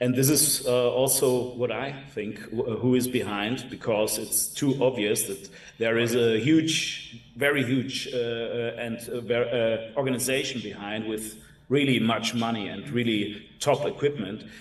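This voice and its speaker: Audible echo from the room hangs around the speech. The man's intonation stays fairly even. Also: medium pitch for a man, fairly slow pace. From Germany. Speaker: interview show host. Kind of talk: interview.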